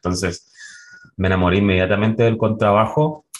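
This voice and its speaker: Speaking at a fairly quick pace, a man with a fairly low pitch has an unremarkable speaking voice and ordinary pitch variation. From La Serena, Chile. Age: 30s. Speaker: orchestra conductor and double bassist. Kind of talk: interview.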